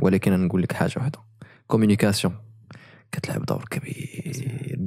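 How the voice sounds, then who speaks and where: A man's fairly low voice with a dark, mellow tone, lively intonation and a fairly quick pace, dry with no echo over a quiet background. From Morocco. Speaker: podcast host; podcast host or guest. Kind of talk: casual interview. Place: studio. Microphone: studio mic.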